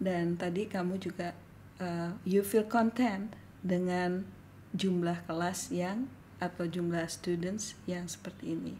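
Speaking very slowly, a woman with a fairly low pitch uses fairly even intonation in a dark, mellow, somewhat breathy tone. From West Sumatra, Indonesia (Padang). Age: 50s. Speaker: yoga school head. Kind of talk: casual chat; podcast introduction.

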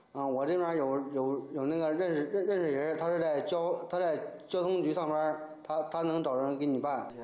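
With audible room echo, a man talks at a moderate pace and fairly high pitch, his intonation fairly even and his loudness very even. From Gaizhou, Liaoning, Northeast China; Liaoning. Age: 30s. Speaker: fraud victim, sailor. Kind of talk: interview testimony. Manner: halting, repetitive. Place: office.

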